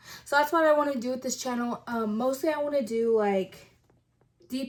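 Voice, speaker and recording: In an American accent, a woman talks at a high pitch with fairly even intonation. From Texas (Kerrville). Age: 20s. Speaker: YouTuber. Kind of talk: casual vlog intro. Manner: hesitant with many fillers.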